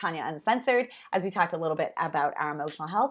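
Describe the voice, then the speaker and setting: A woman speaks here. Her pitch is fairly low. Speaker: wellness coach and live show host. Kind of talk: live video monologue. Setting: live stream. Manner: fast; animated.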